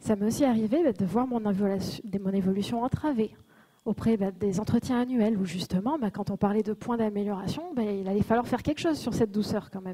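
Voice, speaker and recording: Here is a woman with a fairly high pitch and ordinary pitch variation. She talks at a fairly quick pace. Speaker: conference speaker. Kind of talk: conference talk. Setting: stage with audience.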